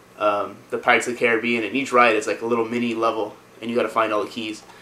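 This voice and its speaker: A man talks at a very fast pace with medium pitch. His intonation stays monotone and flat. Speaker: video game vlogger. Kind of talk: casual vlog. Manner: casual, many fillers.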